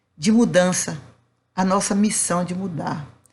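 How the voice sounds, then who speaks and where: There's audible room echo as a woman speaks in a somewhat breathy voice. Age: old. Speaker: spiritist lecturer. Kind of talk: lecture. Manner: not soft or sweet, firm.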